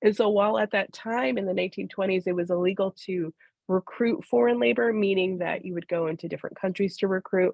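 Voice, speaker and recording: Very fast and with lively intonation, a woman rattles through her words. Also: medium pitch for a woman. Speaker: historian and book author. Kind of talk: panel discussion. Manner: halting.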